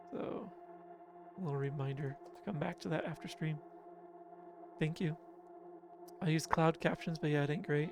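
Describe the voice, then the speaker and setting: Mumbling man with an American accent, high pitch, fairly even intonation and moderate pace, long, frequent pauses, music in the background. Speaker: game streamer. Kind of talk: casual live gameplay chat.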